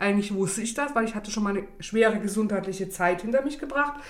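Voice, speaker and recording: Room echo is audible as a woman speaks at a medium pitch. Her intonation is lively. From East Germany, Saxony (Bischofswerda). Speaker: self-employed coach, podcast guest. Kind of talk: casual interview chat.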